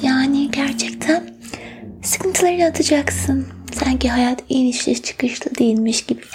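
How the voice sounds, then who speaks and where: Noticeable background noise runs under a soothing, playful tone. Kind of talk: asmr role-play as a fortune teller, reading coffee grounds and palm. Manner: playful and teasing, mock-serious, with giggles and pet names; soft-spoken, slow, soothing, coaxing the listener to relax and breathe.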